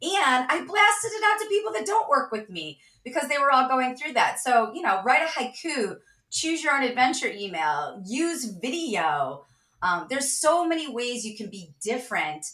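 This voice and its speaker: A woman with a high pitch and a bright, sharp tone uses a raised, projected voice at a moderate pace, with very wide pitch swings and big swings in loudness. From US Midwest, Cleveland, Ohio. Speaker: sales leader and author. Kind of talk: interview.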